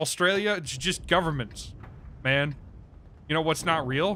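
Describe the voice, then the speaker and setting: Against music in the background, a man with an American accent and a fairly high pitch speaks at a fairly slow pace with ordinary pitch variation. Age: 20s. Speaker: video game streamer. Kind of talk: casual livestream gaming chat.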